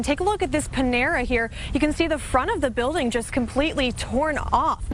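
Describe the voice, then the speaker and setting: With an American accent, a woman speaks at a fairly quick pace in a high voice, with ordinary pitch variation and very even loudness over noticeable background noise. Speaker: television news reporter and anchor. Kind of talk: TV news reporting.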